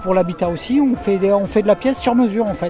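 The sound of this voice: A man talks fast in a high voice with a dark, mellow tone and ordinary pitch variation. Faint music plays in the background.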